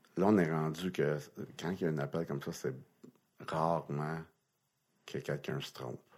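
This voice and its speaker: A man speaks with vocal fry in a very deep, low pitch at a moderate pace. He takes long, frequent pauses, and his intonation is fairly even. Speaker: retired NHL linesman. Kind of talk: interview storytelling. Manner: halting.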